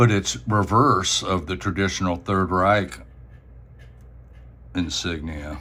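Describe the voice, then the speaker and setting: Speaking with a bright, sharp tone and vocal fry, a man with a very deep, low pitch and ordinary pitch variation talks at a very slow pace with long, frequent pauses. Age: 60s. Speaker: coin and token collector. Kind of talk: show-and-tell video. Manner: casual, halting with fillers.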